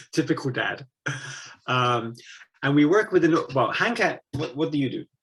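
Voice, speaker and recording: Lively in intonation, this man speaks at a moderate pace with an English accent. His pitch is fairly high. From England. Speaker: missionary. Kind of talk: interview. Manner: halting.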